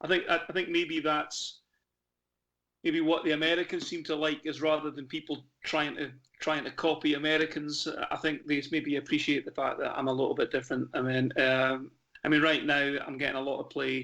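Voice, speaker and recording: A man with a Scottish accent, fairly high in pitch, bright and sharp in tone, in a flat monotone. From Scottish Highlands. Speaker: Americana musician. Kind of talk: radio interview. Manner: halting, many fillers.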